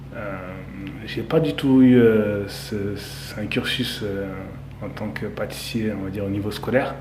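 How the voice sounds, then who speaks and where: Over noticeable background noise and audible room echo, a man speaks very slowly in a fairly low voice with ordinary pitch variation. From France, Saint-Denis (Paris suburbs). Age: 30s. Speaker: pastry chef. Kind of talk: interview. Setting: in a bakery under construction.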